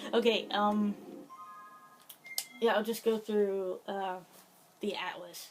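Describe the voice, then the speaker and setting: Background music accompanies the speech. The delivery is very slow. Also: woman. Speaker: gaming video creator. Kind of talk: gameplay commentary. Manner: halting, many fillers.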